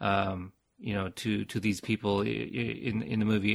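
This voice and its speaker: A fairly low-pitched man with an American accent and vocal fry, on a very clean recording with a silent background. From United States. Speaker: podcaster. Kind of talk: casual chat. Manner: halting, repeats words.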